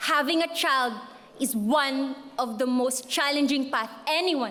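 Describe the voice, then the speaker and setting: At a very slow pace with ordinary pitch variation and a strong Filipino accent, the speaker is heard through noticeable background noise and audible room echo. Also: woman. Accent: thick Filipino. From Philippines. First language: Filipino (Cebuano/Tagalog). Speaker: graduating student speaker. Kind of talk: commencement speech. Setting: stage with audience.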